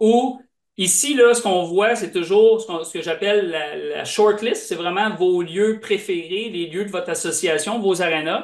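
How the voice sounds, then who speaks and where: A man with a high pitch speaks at a fairly slow pace, showing ordinary pitch variation and big swings in loudness. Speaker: software presenter. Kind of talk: product demo.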